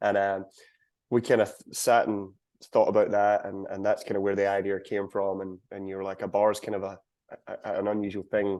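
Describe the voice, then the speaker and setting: Over a quiet background, a man talks at a fairly quick pace. His intonation is monotone and flat, with a Scottish accent. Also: fairly low pitch for a man. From Scotland. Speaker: country singer. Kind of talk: interview.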